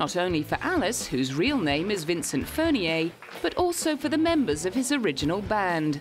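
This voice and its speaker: Over music in the background, a woman speaks at medium pitch and a moderate pace with very wide pitch swings and very even loudness. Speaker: entertainment news narrator. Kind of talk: TV news narration.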